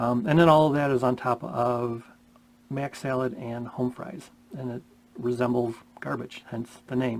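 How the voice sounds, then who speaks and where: Through noticeable background noise, a man talks with fairly even intonation. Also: medium pitch for a man, fairly slow pace. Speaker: wedding DJ. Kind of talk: casual vlog talk. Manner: many fillers, umm and ya know.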